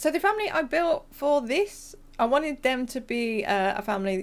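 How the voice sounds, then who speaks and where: The speaker is a woman. She has a British accent. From England, near countryside. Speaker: gaming YouTuber. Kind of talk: casual voice-over commentary. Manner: casual, hesitant with fillers.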